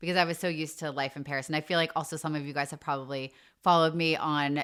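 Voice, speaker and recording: An American accent at a very fast pace, in a very clean recording with a silent background. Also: woman. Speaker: podcast co-host. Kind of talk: casual chat.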